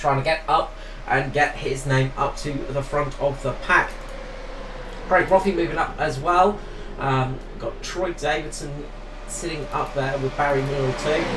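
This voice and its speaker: The man's delivery is fairly slow. Background noise is noticeable, and the room echo can be heard. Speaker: esports race commentator. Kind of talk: live commentary. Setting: commentary booth.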